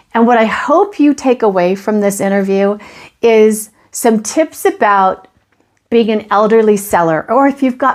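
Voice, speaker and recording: A woman's normal speaking voice at a medium pitch, with ordinary pitch variation. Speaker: real estate agent. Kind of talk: podcast intro to camera.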